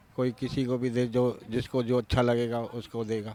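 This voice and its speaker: This is a man at medium pitch. His tone is dark and mellow. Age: 50s. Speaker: voter interviewed on street. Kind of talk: street interview.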